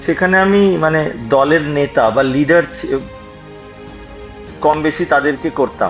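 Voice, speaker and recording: A man speaks with a fairly high pitch and ordinary pitch variation. Music plays in the background. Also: very even loudness. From West Bengal, India (Pujali, Budge Budge). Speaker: healthcare entrepreneur. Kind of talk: interview storytelling. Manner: hesitant with fillers.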